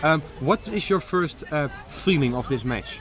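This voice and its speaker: A man talks in a fairly high pitch at a moderate pace. Noticeable background noise runs behind him. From Netherlands. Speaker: sports commentator. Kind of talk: live commentary.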